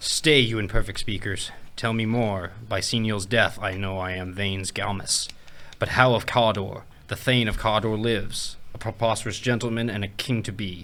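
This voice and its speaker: A man's put-on character voice, fairly low in pitch, at a moderate pace, with clear background noise. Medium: game stream.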